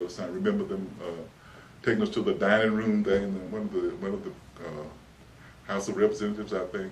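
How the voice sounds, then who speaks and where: With a Texan accent, a man talks at a very fast pace but leaves long, frequent pauses. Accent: Texas Southern American English. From Dallas, Texas. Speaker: civil rights figure, educator. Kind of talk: oral history interview answer. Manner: hesitant, reflective.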